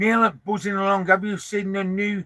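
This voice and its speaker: A man uses a raised, projected voice, high in pitch and bright, sharp in tone. He speaks at a fairly slow pace in a dry, close sound with no echo. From northern England, Lancashire (Preston). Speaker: vanlife vlogger. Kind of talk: casual live stream chat reading comments. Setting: parked up in a van, live stream. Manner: chatty, informal.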